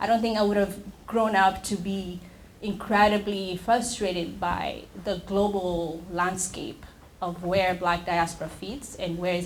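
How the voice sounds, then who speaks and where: Audible room echo surrounds a woman speaking at a moderate pace in an East African accent, her medium pitch carried by fairly even intonation. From Tanzania. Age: young. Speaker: nonprofit founder and executive director. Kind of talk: panel discussion. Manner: halting.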